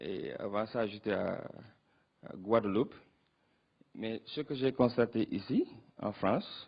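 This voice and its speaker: A man with a non-native accent speaks at a very slow pace, with long, frequent pauses. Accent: non-native French, rusty. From Senegal. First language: Wolof (speaking French). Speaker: youth political organizer. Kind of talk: panel discussion answer. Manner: halting, many hesitations.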